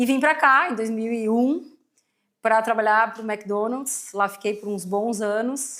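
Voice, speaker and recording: Her pitch fairly high with ordinary variation, a woman speaks at a very slow pace. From southern Brazil, Rio Grande do Sul (São Leopoldo, near Porto Alegre). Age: 40s. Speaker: company CEO, market research executive. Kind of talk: podcast interview. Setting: studio.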